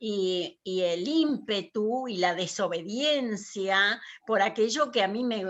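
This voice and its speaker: A woman speaks at a very slow pace, her medium pitch carried by lively intonation. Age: 70s. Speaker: writer and poet, former teacher. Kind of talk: interview, personal storytelling. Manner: hesitant, many fillers.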